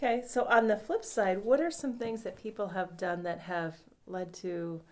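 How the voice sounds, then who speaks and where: A woman uses a normal speaking voice with lively intonation. Her pace is fairly slow. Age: 40s. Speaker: health podcast host. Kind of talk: interview.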